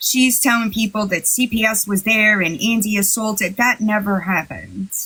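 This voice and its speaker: A woman with an American accent speaks at a moderate pace and fairly high pitch, her intonation fairly even and her loudness very even, with noticeable background noise. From New York. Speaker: livestream host. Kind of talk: casual chat. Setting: livestream.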